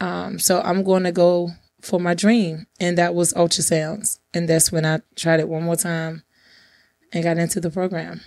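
In a calm tone with monotone, flat intonation, the speaker keeps a moderate pace on a very clean recording with a silent background. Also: woman, fairly low pitch for a woman. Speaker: podcast host, real estate agent and bondsman. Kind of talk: interview, telling life story.

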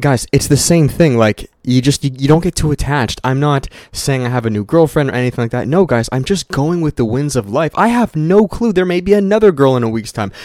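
A man's fairly high, animated, upbeat voice with lively intonation, a fairly quick pace, hardly any pauses and a dry, close sound with no echo. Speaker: podcast host. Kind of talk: solo casual monologue podcast. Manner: fast talker; animated, upbeat, casual.

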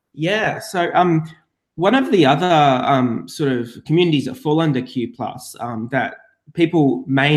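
On a very clean recording with a silent background, a man with an Australian accent speaks at a fairly slow pace. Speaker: podcast co-host. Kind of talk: casual scripted-style podcast chat.

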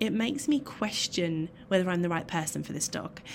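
A woman is speaking. She has an English accent. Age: 30s. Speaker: dog trainer and clinical psychologist. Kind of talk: solo podcast talk.

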